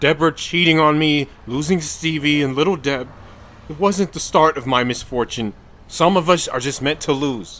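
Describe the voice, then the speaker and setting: A man uses a put-on character voice, drawling at a fairly high pitch. His pace is moderate and his pitch varies in an ordinary way. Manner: despairing, defeated drawl.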